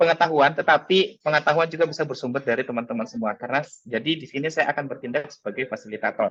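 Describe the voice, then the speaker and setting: Ordinary pitch variation in a man's speech. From Makassar, South Sulawesi, Indonesia. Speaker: teacher and workshop speaker. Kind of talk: webinar presentation. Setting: video call. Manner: hesitant with frequent fillers.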